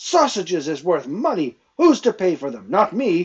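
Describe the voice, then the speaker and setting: Putting on a character voice, a man growls at a high pitch with very wide pitch swings. His pace is moderate. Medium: read story. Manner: angry, blustering, common speech.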